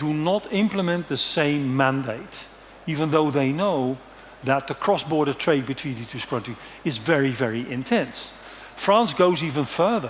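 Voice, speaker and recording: Over noticeable background noise, a man with a Dutch accent talks at a fairly high pitch with lively intonation. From Netherlands. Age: 60s. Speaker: conference speaker. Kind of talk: conference presentation. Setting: stage with audience.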